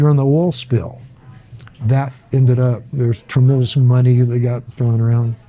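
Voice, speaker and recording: A man's medium-pitched voice with an American accent, moderate pace, monotone, flat intonation and very even loudness over music in the background. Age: 70s. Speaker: restaurant owner. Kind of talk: casual chat. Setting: restaurant. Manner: halting.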